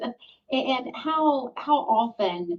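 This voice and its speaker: A woman in a Southern US accent, with lively intonation. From Mississippi. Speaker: moderator. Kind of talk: panel discussion. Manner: hesitant, many filler ums.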